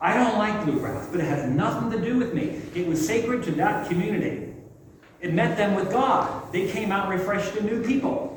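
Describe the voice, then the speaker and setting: With lively intonation and a high pitch, a man speaks at a moderate pace amid noticeable background noise and audible room echo. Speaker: pastor leading a church seminar. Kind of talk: seminar talk to congregation. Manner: loud and passionate, sounds like yelling.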